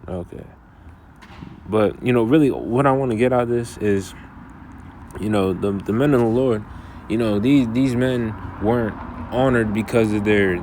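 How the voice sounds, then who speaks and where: Amid noticeable background noise and audible room echo, a man speaks at a moderate pace with fairly even intonation and long, frequent pauses. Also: medium pitch for a man. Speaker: bible teacher. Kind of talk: bible lesson. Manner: halting.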